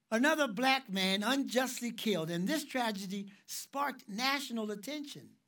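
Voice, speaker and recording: Bright, sharp tone from a man at an extremely high pitch, moderate pace, with audible room echo. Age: 60s. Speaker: ministry director and preacher. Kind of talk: sermon.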